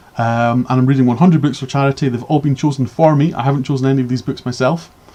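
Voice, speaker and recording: Speaking very fast in a Scottish accent, a man keeps a medium pitch, fairly even intonation and a dark, mellow tone. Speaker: book reviewer streamer. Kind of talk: live stream book review. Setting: live stream with chat. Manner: halting, many fillers and repeats.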